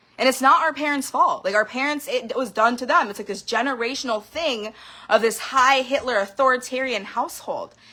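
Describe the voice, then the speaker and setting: A woman with a high pitch and a bright, sharp tone speaks in a raised, projected voice with an animated tone. She moves at a fairly quick pace with ordinary pitch variation. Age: 30s. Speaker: vlogger sharing personal experiences. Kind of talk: emotional personal monologue.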